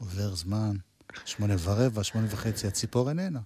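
Here a man talks at a medium pitch with a dark, mellow tone. His pace is fairly slow, and his pitch varies in an ordinary way. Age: 60s. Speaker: music show host. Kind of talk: casual interview; storytelling.

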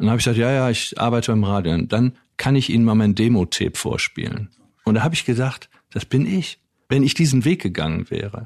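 A man at medium pitch races along at a very fast pace with lively intonation, the sound dry and close with no echo. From Wuppertal, Germany. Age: 60s. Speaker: author and former radio manager. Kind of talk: interview conversation.

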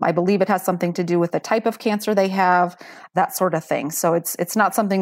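At a fairly quick pace, a woman talks in an ordinary speaking voice, the sound dry and close with no echo, in a very clean recording with a silent background. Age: 40s. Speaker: bone marrow donor. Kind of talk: personal testimony in interview.

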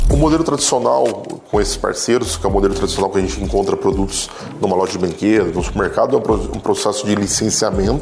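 Through audible room echo and noticeable background noise, a man speaks at a very fast pace with very even loudness. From Brazil, Campinas. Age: 30s. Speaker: entrepreneur. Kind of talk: talk / testimony.

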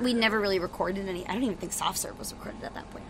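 A woman talks with an American accent. Noticeable background noise can be heard. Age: 20s. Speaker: rock band singer and guitarist. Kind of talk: casual interview chat. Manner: animated.

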